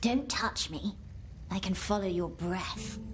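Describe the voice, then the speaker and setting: Over loud music, a female-sounding voice does a put-on character voice at medium pitch and a fairly slow pace. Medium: video game. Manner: echoes others' words, teasing.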